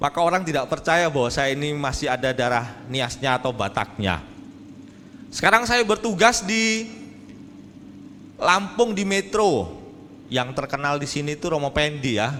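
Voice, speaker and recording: A man's fairly high voice with very wide pitch swings, a moderate pace, and long, frequent pauses. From Indonesia, rural Jambi, Sumatra. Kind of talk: sermon. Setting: church hall with audience. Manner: animated, joking.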